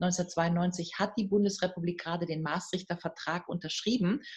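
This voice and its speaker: At a moderate pace, a woman speaks in a somewhat breathy voice of medium pitch with fairly even intonation. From Germany, North Rhine-Westphalia. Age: 50s. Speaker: professor of European politics. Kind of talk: interview. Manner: hesitant, many fillers.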